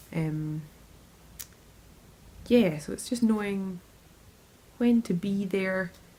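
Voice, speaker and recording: A woman talks at a very slow pace in a dark, mellow tone. Her voice comes across somewhat breathy. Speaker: interviewee. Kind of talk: interview answer.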